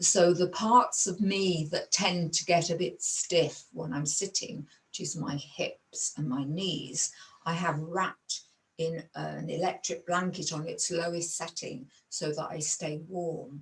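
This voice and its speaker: A woman has an unremarkable speaking voice with a fairly low pitch. She speaks at a fairly slow pace with fairly even intonation. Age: 60s. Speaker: Buddhist meditation teacher. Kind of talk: teaching talk. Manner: calm, measured.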